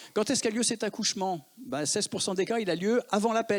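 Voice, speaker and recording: A man with a high voice speaks with lively intonation in a very clean, dry, close recording with a silent background and no echo. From Lyon, France. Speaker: emergency physician. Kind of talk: conference talk.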